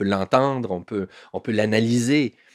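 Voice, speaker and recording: The voice moves through an ordinary range of pitch, recorded very cleanly against a silent background with a dry, close sound and no echo. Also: man. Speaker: newspaper columnist. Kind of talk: interview conversation. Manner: halting, many repetitions and fillers.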